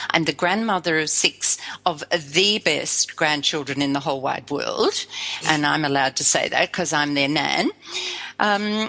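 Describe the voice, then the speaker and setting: A woman with an Australian accent talks at a fairly slow pace. Her pitch varies in an ordinary way. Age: 60s. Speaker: spiritual life coach, musician. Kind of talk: interview.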